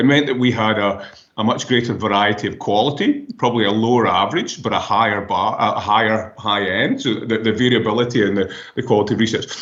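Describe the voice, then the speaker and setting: In a room with audible echo, a man races along at a very fast pace, his medium-pitched voice keeping fairly even intonation. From Scotland. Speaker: professor. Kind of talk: interview. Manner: halting.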